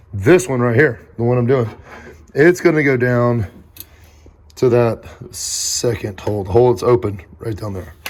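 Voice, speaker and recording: Against noticeable background noise, a man at a medium pitch speaks at a moderate pace with ordinary pitch variation and long, frequent pauses. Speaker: YouTube car builder. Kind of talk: DIY build vlog. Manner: casual, rambling.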